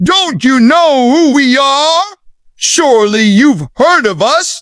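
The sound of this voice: A woman speaks slowly in a put-on character voice with a high pitch, a fairly bright tone and lively intonation, in a dry, close sound with no echo.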